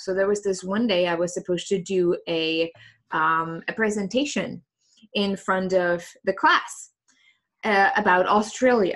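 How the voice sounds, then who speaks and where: A woman with a slight German accent speaks at a medium pitch and a fairly slow pace, with ordinary pitch variation, over a quiet background. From Germany. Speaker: coach. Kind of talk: interview. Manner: hesitant, many fillers.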